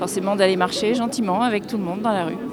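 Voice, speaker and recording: A woman with a medium pitch talks at a fairly quick pace with fairly even intonation, amid crowd noise and audible room echo. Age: 60s. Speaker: street protester. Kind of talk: street interview.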